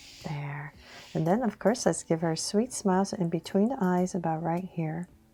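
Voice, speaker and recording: Music plays in the background. A woman speaks in a calm, soothing tone. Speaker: drawing tutor. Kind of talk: step-by-step drawing tutorial narration.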